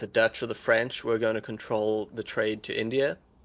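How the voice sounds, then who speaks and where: The speaker has a South African accent and a moderate pace, captured in a very clean recording with a silent background. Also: man. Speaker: gaming streamer. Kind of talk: casual chat. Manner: halting.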